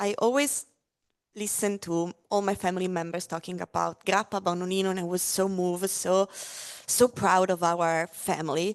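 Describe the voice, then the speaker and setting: Recorded in a quiet background with a dry, close sound and no echo, a woman with an Italian accent speaks at a moderate pace. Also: medium pitch for a woman, ordinary pitch variation. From Italy, Friuli Venezia Giulia. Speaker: spirits brand ambassador. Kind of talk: casual interview at a live tasting. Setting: live-streamed tasting with audience. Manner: hesitant, many fillers.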